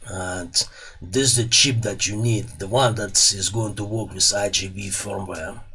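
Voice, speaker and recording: With a Russian accent, a man speaks fairly slowly at a fairly low pitch. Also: fairly even intonation. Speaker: electronics repair YouTuber. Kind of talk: tutorial. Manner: casual, hesitant with fillers. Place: workshop. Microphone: studio mic.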